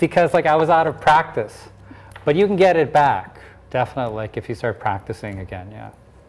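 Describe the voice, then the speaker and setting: Talking at a fairly quick pace, a man with a fairly high pitch makes very wide pitch swings and big swings in loudness. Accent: Canadian. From Canada (Finnish-born, moved at five). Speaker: linguistics expert. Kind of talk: interview. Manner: many fillers, hesitant.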